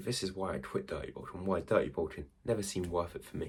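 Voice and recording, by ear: A man with a low-pitched voice talks at a fairly quick pace.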